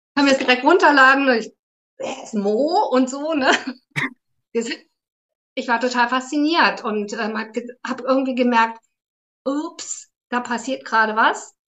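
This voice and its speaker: With long, frequent pauses, a woman talks at a fairly slow pace in a high pitch with ordinary pitch variation. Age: 50s. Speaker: therapist, academy graduate. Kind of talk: interview conversation.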